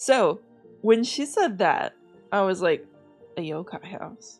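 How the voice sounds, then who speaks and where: Music plays in the background as a woman speaks at a fairly slow pace with lively intonation. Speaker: VTuber. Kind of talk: casual reaction commentary to camera.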